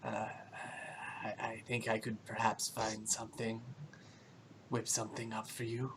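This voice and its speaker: Putting on a character voice, a man at a medium pitch talks in a flat monotone with long, frequent pauses against clear background noise. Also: moderate pace. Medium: actual play. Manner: polite, scheming.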